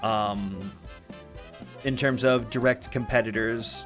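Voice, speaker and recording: Over music in the background, a man talks with lively intonation. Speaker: video game discussion streamer. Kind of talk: casual live stream talk. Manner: fast.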